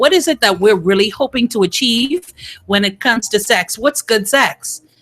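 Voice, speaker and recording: Over music in the background, a woman's voice moves through very wide pitch swings, with a dry, close sound and no echo. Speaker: radio host. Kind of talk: radio talk show discussion. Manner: fast.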